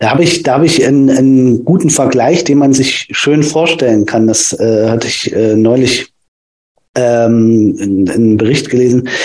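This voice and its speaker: A man speaks at a moderate pace and medium pitch. Room echo is audible. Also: ordinary pitch variation, very even loudness. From Germany, Thuringia (Nordhausen). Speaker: physiotherapist. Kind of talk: casual interview. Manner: halting, many fillers.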